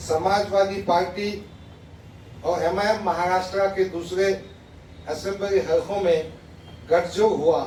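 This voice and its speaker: With noticeable background noise behind him, a man talks in a high pitch with monotone, flat intonation, very even loudness, and long, frequent pauses. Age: 60s. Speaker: politician. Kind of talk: press statement reading a letter aloud. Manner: formal.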